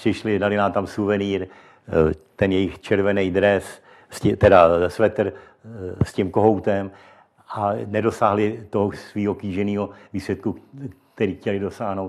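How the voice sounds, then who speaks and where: A man with a fairly low pitch speaks at a fairly slow pace in a monotone, flat delivery, leaving long, frequent pauses. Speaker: former football referee. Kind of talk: interview. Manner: halting.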